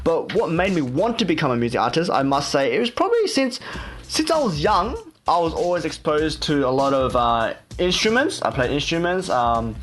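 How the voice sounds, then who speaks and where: Speaking at a moderate pace with an Australian accent, a man uses a high pitch while music plays in the background. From Australia, Sydney. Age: 20s. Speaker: K-pop idol and radio host. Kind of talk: casual radio show with vlog audio. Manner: casual, many fillers.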